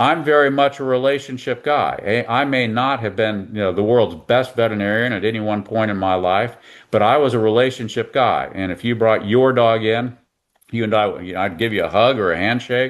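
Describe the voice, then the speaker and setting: With an American accent, a man talks at a fairly quick pace in an unremarkable speaking voice. His pitch is medium, with ordinary variation. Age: 60s. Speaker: veterinarian. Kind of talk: interview.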